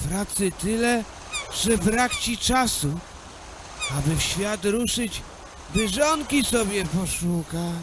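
A put-on character voice, fairly high and shaky, with a weary tone, a fairly slow pace, long, frequent pauses and clear background noise. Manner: worried, weary.

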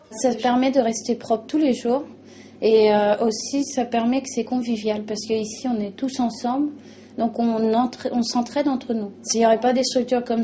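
A woman at a moderate pace with fairly even intonation, over light background noise. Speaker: interviewee. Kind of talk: interview answer. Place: home room. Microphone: lapel.

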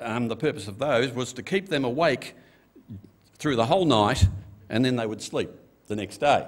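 Speaking with an Australian accent, a man uses lively intonation at a moderate pace, broken by long, frequent pauses. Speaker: pastor. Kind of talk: sermon. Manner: casual, conversational. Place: church. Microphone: podium.

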